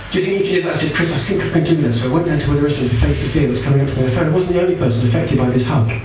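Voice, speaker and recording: A man at a very fast pace and fairly high pitch, with noticeable background noise and audible room echo. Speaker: stand-up comedian. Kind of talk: stand-up comedy, anecdotal storytelling with deadpan absurd punchlines. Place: stage.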